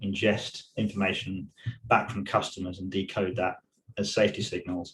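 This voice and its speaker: A man with an English accent, fairly low-pitched and somewhat breathy, at a moderate pace. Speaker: tech industry safety manager. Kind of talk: webinar presentation. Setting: online webinar.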